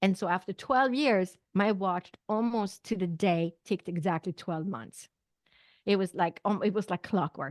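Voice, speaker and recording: In a Swedish accent, a woman speaks fairly slowly at a medium pitch with ordinary pitch variation. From Sweden. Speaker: naturopathic doctor and psychic medium. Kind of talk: interview testimony.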